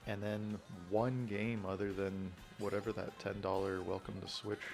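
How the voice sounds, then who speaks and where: A man whispers at a moderate pace with music in the background. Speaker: gaming youtuber. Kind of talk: casual chat. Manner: whispering; rambling, hesitant.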